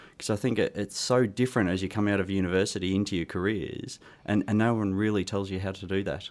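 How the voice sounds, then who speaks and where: A man with an Australian accent, fairly low in pitch, very fast and fairly even in intonation, on a very clean recording with a silent background. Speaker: careers consultant and author. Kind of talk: interview answers. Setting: studio.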